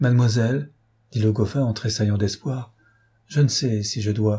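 Someone is reading. The voice used is a natural reading voice.

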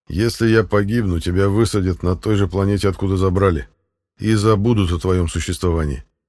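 Over a quiet background, the text is read in an unforced reading voice.

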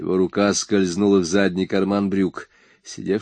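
Simple, plain reading aloud

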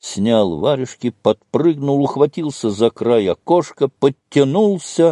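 A natural reading voice with lively intonation, over a quiet background.

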